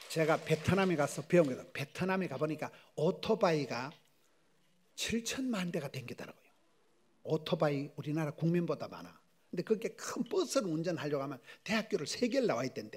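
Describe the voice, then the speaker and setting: Animated in tone, a man with fairly high pitch talks at a fairly quick pace with lively intonation. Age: 60s. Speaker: pastor. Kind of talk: sermon.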